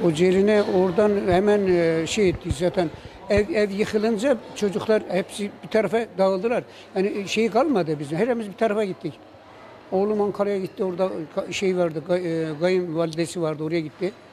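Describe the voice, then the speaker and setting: A man's high-pitched voice at a moderate pace, with light background noise. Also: ordinary pitch variation. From Kırıkhan, Hatay, Turkey. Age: 70s. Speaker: earthquake survivor, amateur poet. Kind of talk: interview answer. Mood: sorrowful, recounting loss. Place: hall. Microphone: handheld.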